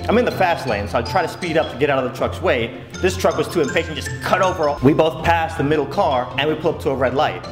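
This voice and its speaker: Against music in the background, a man talks at a very fast pace with hardly any pauses and very wide pitch swings. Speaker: vlogger. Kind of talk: storytelling vlog. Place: home room.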